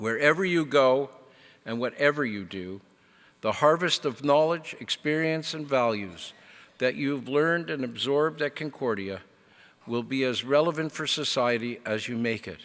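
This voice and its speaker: On a very clean recording with a silent background, a man with a normal speaking voice talks at a moderate pace and medium pitch with ordinary pitch variation. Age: 60s. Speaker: convocation speaker. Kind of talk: commencement speech. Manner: formal.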